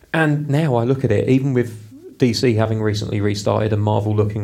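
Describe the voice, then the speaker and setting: In a British accent, a man talks very fast with a dark, mellow tone and fairly even intonation, and the room echo is audible. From UK. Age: 30s. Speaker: podcast co-host. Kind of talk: casual chat.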